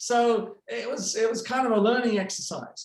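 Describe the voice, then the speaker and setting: The voice carries a British accent. Its pace is moderate. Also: man. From United Kingdom. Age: 60s. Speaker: retired prosecutor. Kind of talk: presentation. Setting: video call.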